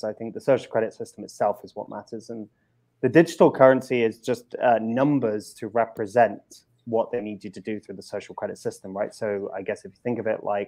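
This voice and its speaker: This man talks fairly quickly with a British accent and a dark, mellow tone. His pitch sits in the medium range and varies in an ordinary way. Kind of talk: panel discussion answer.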